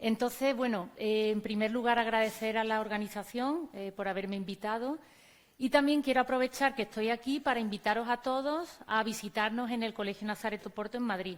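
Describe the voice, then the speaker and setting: A woman speaks fairly quickly in an Andalusian accent. Her voice is fairly high, with ordinary pitch variation. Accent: Andalusian (Córdoba), noticeable. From Spain, Córdoba (Andalusia). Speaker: teacher and conference speaker. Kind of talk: conference talk.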